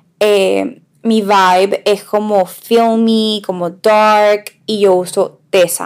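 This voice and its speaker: A woman speaks very slowly at a medium pitch, her intonation monotone and flat. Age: 20s. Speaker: podcast co-host, makeup influencer. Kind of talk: casual chat.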